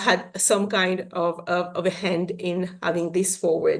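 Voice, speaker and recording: With a Mauritian accent, a woman talks at a fairly slow pace against a quiet background. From Mauritius. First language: Mauritian Creole. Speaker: science policy network chair. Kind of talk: conference presentation.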